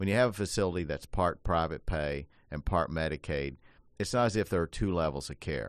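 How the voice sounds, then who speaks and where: Speaking at a fairly quick pace, a man with a very deep, low pitch shows lively intonation and vocal fry. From Appalachia. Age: 60s. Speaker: radio host and elder law attorney. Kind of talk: radio talk show discussion.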